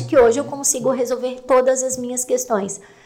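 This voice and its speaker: A woman speaks in a high pitch at a moderate pace, her intonation flat and monotone. Background noise is noticeable. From Santa Catarina highlands, Brazil. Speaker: podcast co-host. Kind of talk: casual chat.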